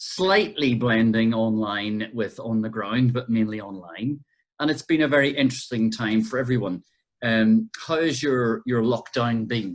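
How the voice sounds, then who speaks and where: In an Irish accent, a man talks at a fairly slow pace and a medium pitch, with ordinary pitch variation. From Ireland. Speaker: podcast host and curator. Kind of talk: interview. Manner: halting.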